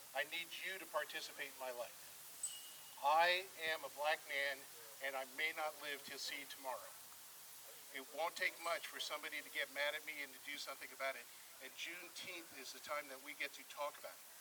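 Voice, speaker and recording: A man with a fairly high-pitched voice talks at a fairly quick pace in a monotone, flat delivery, with long, frequent pauses. His loudness swings widely, and there is noticeable background noise. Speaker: community speaker. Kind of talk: public speech. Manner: fast.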